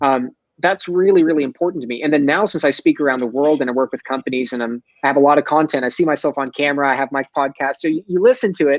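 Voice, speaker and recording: In a slight Texas accent, a man talks very fast with an animated tone and a fairly high pitch for a man, his pitch varying in an ordinary way in a dry, close sound with no echo. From Texas, Dallas. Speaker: sales expert and entrepreneur. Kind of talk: podcast interview. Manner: articulate, animated.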